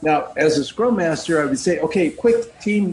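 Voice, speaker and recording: A man with an American accent speaks at a moderate pace in a high pitch, his intonation lively, over noticeable background noise. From US Midwest. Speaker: scrum master. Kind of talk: casual chat. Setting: video call.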